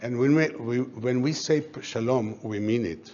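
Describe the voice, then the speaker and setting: A man with a non-native accent speaks at a medium pitch and a moderate pace, with ordinary pitch variation and noticeable background noise. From Poland, Warsaw. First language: not English. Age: 80s+. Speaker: Holocaust survivor, retired air force officer. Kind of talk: speech to audience. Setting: event room with audience.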